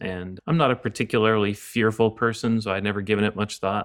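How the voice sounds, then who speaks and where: A man with a Canadian accent has a fairly low pitch and an unremarkable speaking voice, with fairly even intonation. The recording is very clean with a silent background. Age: 40s. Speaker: pastor and author. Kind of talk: podcast interview on grief.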